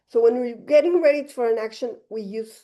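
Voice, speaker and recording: A woman speaks with a fairly high pitch and ordinary pitch variation. Her tone is dark and mellow. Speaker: dentist giving a lecture. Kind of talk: lecture. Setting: fitness facility with live and online audience. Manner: fast.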